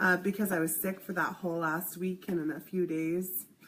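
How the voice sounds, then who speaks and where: Amid noticeable background noise, a woman talks at a fairly quick pace in a medium pitch. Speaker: healing practitioner. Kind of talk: casual chat. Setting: live video stream.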